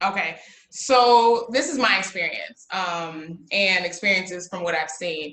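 With an American accent, a woman talks in a normal speaking voice at a fairly slow pace, medium in pitch with ordinary pitch variation. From US Midwest (Chicago area, Illinois). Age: 30s. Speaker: lawyer and educator. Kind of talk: casual interview chat.

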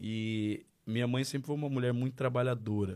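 A man talks at a moderate pace with a normal speaking voice and fairly even intonation. The recording is very clean, with a silent background. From Marília, interior of São Paulo, Brazil. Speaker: pastor. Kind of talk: testimony.

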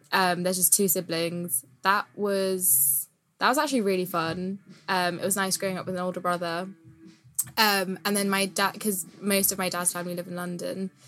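A woman with a British accent talks at a moderate pace and medium pitch, her intonation fairly even. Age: 20s. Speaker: poet and geography student. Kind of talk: casual chat.

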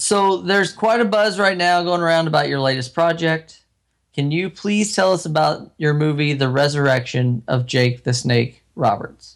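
A man's plain, everyday voice, fairly high in pitch, with lively intonation, very even loudness and a moderate pace. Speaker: wrestling podcast co-host. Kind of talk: casual chat.

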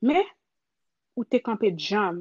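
In a Haitian accent, a woman speaks with a fairly high, somewhat breathy voice, recorded dry and close with no echo against a quiet background. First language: Haitian Creole. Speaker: creative. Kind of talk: personal storytelling.

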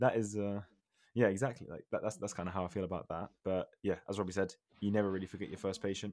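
Very fast and fairly even in intonation, a man with a British accent speaks at a fairly low pitch on a very clean recording with a silent background. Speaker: podcast host, dental student. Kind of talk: casual chat.

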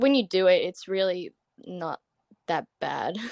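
A woman with an Australian accent talks at a fairly slow pace, her pitch medium with ordinary variation. The sound is dry and close, with no echo. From Australia, Brisbane, Queensland. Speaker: college gymnast. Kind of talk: interview.

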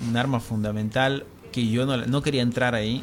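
Music plays in the background. A man speaks at a moderate pace and a medium pitch, with ordinary pitch variation. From Tucumán, Argentina. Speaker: singer-songwriter. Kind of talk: interview. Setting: radio studio. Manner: halting, repeats words.

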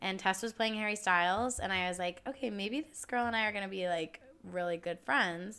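An animated, bright and sharp American-accented woman's voice at medium pitch, fairly quick with hardly any pauses, ordinary pitch variation, on a very clean recording with a silent background. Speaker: podcast host. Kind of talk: casual chat.

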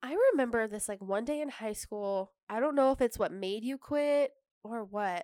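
A woman in a normal speaking voice, fairly high in pitch with ordinary pitch variation and a moderate pace, in a very clean, dry, close recording with no echo and a silent background. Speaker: podcast co-host. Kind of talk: casual chat.

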